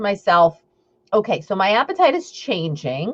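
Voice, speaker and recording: A woman speaks at a moderate pace with a Long Island accent. Her pitch swings very widely. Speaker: intuitive eating coach. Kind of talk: live stream talk. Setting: live video stream. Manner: casual, chatty.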